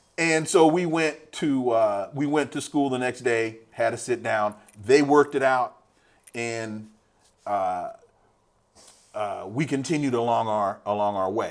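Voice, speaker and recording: With an American accent, a man speaks at a fairly slow pace with long, frequent pauses, his medium pitch showing ordinary variation. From California, Sacramento. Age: 60s. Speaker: political scientist. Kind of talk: interview.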